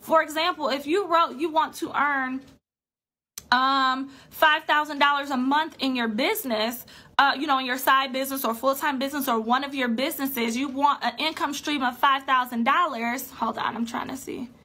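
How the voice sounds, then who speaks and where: The voice is raised and projected, with a bright, sharp tone, a moderate pace and ordinary pitch variation. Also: woman, high pitch for a woman. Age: 20s. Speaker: personal finance coach. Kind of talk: live-stream talk to an online group. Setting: solo live video stream.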